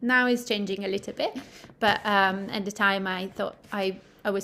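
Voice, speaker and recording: Speaking at a moderate pace in an Italian accent, a woman uses fairly even intonation at a medium pitch. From Italy. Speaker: midwife. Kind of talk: interview. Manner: hesitant, many fillers.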